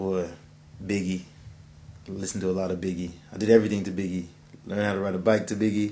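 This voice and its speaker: Quiet and monotone, a man with a very deep, low pitch and a dark, mellow tone talks at a very fast pace between long, frequent pauses, with audible room echo. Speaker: musician. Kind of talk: self-interview. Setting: editing suite. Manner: casual.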